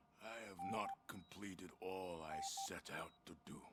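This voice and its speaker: A man's growling put-on character voice, very deep and low in pitch, at a moderate pace over loud background noise. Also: fairly even intonation. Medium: video game. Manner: wistful, fatherly.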